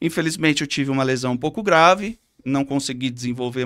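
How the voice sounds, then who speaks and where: This man speaks with a São Paulo countryside accent. His pitch sits in the middle range and his pace is fairly quick. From Brazil, Catanduva, São Paulo state countryside. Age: 30s. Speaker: physiotherapist, local council candidate. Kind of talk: interview. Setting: studio.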